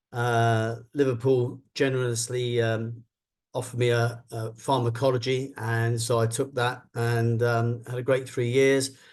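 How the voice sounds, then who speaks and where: A man's medium-pitched, monotone, flat delivery in a southern English accent, at a fairly slow pace. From London, England. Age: 60s. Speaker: business executive. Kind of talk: interview talk.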